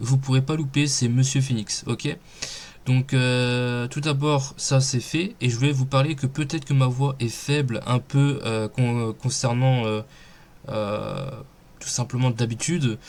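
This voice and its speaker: A medium-pitched male voice at a very slow pace, with fairly even intonation. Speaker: gaming youtuber. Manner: hesitant, many fillers.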